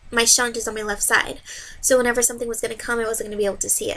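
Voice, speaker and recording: A woman speaks at a very fast pace in a high voice with a bright, sharp tone. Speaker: vlogger with hydrocephalus. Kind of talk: personal vlog. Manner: loud when passionate.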